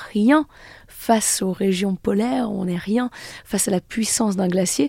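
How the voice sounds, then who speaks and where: Somewhat breathy and dark, mellow in tone, a woman's medium-pitched voice moves at a moderate pace with ordinary pitch variation. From French Alps, Haute-Savoie (Annecy area). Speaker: glaciologist and author. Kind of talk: radio interview.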